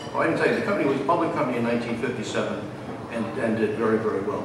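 A man's voice comes through with strong room echo and noticeable background noise. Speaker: presenter. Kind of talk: lecture. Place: stage.

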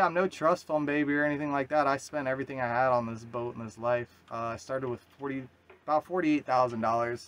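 A man at a very fast pace, with fairly even intonation. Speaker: solo sailor vlogger. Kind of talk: casual vlog chat. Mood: reflective, earnest. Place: boat. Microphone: phone near.

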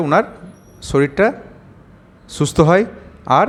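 With a plain, everyday voice, a man talks at a fairly high pitch using ordinary pitch variation. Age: around 50. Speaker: doctor. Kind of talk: patient testimonial video with health advice.

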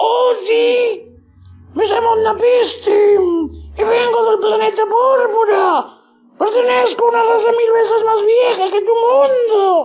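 In a put-on character voice, a woman speaks with an extremely high pitch at a fairly slow pace. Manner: proud, then frightened and pleading.

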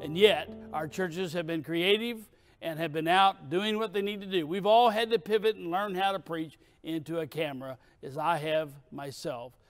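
Faint music plays behind a man with a high pitch. He speaks at a moderate pace with ordinary pitch variation. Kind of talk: sermon. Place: stage.

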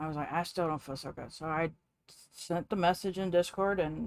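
In a dry sound with no echo, a woman with an ordinary speaking voice talks at a moderate pace, fairly low in pitch with ordinary pitch variation. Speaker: streamer. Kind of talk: casual stream chat. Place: home room.

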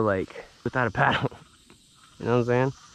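The recording is dry with no echo as a man talks at a very fast pace. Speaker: angler vlogger. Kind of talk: casual vlog chat. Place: waterside. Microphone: phone near.

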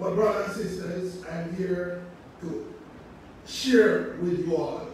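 A man's high-pitched voice in strong room echo, with light background noise. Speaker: preacher. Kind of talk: sermon. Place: church.

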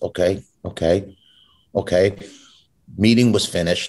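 Over a quiet background, a man uses an ordinary speaking voice at a fairly low pitch with fairly even intonation. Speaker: guest actor. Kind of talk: interview answer, storytelling. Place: home room. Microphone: video call.

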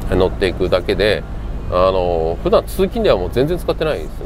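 A man speaks in a dry recording with no echo, and noticeable background noise can be heard behind him. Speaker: car owner vlogger. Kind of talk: casual vlog chat. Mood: relaxed, reflective. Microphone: lapel.

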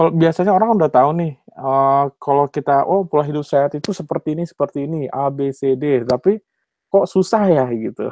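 A man talks at a fairly quick pace in a fairly high pitch with ordinary pitch variation. The sound is dry with no echo, and the background is quiet. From Indonesia, West Java (Bandung); West Java, Indonesia. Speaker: cardiologist and PhD candidate; candidate. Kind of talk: webinar lecture. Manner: hesitant, many fillers. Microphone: video call.

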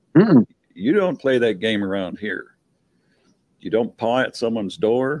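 A man's lively intonation at a fairly slow pace, dry with no echo, against a quiet background. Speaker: talk show guest. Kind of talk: opinionated casual discussion. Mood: firm, opinionated. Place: home room. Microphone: video call.

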